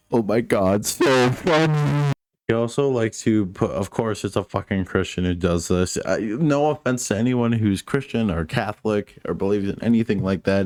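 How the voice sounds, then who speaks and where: A man at a medium pitch and moderate pace, with lively intonation and hardly any pauses, with music in the background. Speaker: YouTube commentator. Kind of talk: commentary video. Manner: stuttering.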